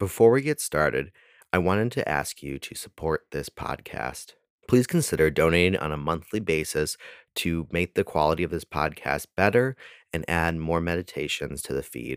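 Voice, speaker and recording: Very deep, low male voice with vocal fry and lively intonation, dry and close with no echo, on a very clean recording with a silent background. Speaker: meditation guide. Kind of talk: guided meditation. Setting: recorded podcast. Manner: slow, calm, soothing, with long pauses; gentle, reassuring.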